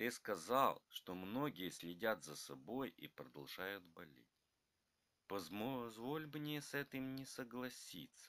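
A man at a medium pitch, very slow pace, bright, sharp tone and very wide pitch swings. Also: big swings in loudness. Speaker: narrator reading both grandfather and grandson parts. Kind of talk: scripted dialogue between grandfather and grandson, read aloud.

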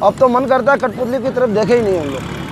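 A man with an extremely high pitch talks at a moderate pace with ordinary pitch variation, in a dry sound with no echo against noticeable background noise. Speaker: interviewee. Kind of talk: interview answer. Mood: weary, discouraged about his trade.

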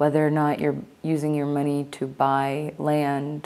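This woman's voice has a dark, mellow tone and a very deep, low pitch. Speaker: spiritual vlogger. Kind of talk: casual vlog monologue. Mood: earnest, reflective, critical. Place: home room. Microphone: lapel.

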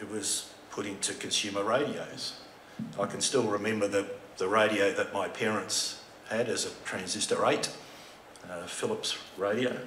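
A man with an Australian accent talks at a moderate pace in a fairly low voice with fairly even intonation, with light background noise and audible room echo. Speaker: telecom heritage executive; conference presenter. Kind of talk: presentation. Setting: stage with audience. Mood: warm, reminiscing. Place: hall. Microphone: podium.

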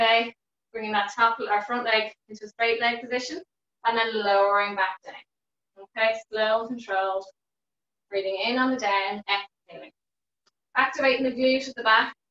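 Music plays in the background while a woman speaks with fairly even intonation and long, frequent pauses. Room echo is audible. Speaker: fitness instructor. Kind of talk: exercise class instruction. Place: home room. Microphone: video call.

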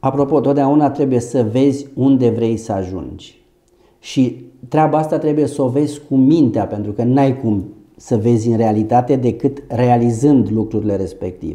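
Quiet background, a man with a dark, mellow tone at a moderate pace and ordinary pitch variation. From Romania, Ilfov county near Bucharest; Romania. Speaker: doctor and medical business owner. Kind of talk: interview. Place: office. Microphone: lapel.

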